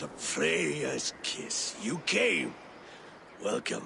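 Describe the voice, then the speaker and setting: A raspy, put-on character voice from a man, fairly low in pitch, over clear background noise. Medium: video game. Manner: solemn, commanding.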